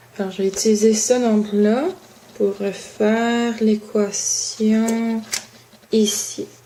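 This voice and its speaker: A woman speaks very slowly in a fairly high, flat, monotone voice, with long and frequent pauses. Noticeable background noise sits behind her. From Quebec. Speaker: student. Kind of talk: homework explanation. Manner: halting.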